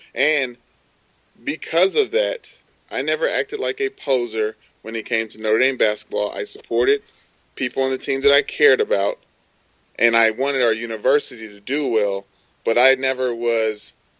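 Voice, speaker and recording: A man with a plain, everyday voice talks at a moderate pace and medium pitch. The sound is dry and close with no echo, and his loudness swings widely. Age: 20s. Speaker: former college football player, sports TV producer. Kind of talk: casual chat.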